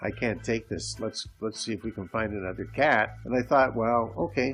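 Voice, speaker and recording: Over music in the background, a man talks at a moderate pace in a medium pitch. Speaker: podcast host. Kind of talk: casual solo monologue. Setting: home recording.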